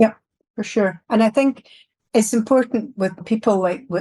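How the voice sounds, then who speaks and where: A woman in a Scottish accent, somewhat breathy and dark and mellow in tone, with ordinary pitch variation, a moderate pace and a dry, close sound with no echo. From Scotland, Glasgow. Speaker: security executive. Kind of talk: podcast interview. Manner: blunt, open.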